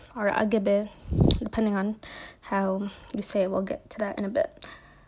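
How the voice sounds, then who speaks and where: Over noticeable background noise, a woman with an American accent speaks with fairly even intonation. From US Midwest, Minneapolis (Somali community). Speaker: podcast host. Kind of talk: casual monologue. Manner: hesitant, many fillers.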